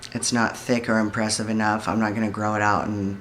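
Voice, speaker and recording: A man speaks at a fairly low pitch in a monotone, flat intonation, with audible room echo. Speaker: vlogger. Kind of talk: personal video diary. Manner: somewhat monotone.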